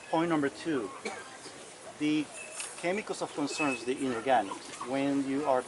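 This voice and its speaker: A man speaks quietly at a fairly high pitch, with ordinary pitch variation. Background noise is noticeable. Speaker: county environmental official. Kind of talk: public meeting explanation. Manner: quiet, hard to hear.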